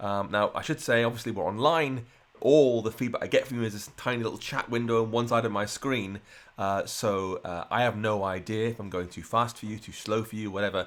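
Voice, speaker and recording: Speaking at a fairly quick pace, a man holds a medium pitch and fairly even intonation. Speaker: programming instructor. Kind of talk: live coding tutorial. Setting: livestream. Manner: fast.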